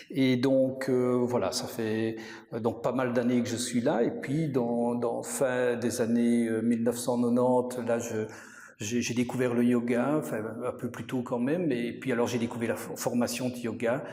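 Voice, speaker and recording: A man speaks at a fairly slow pace with monotone, flat intonation, with audible room echo and noticeable background noise. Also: medium pitch for a man. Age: 60s. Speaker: yoga teacher and accountant. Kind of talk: interview. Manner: halting, many hesitations.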